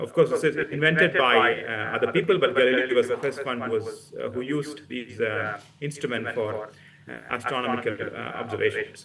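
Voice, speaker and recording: A man speaks at a moderate pace. His pitch is medium and varies in an ordinary way. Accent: Keralan. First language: Malayalam. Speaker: physics professor. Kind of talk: public lecture. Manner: halting, many fillers.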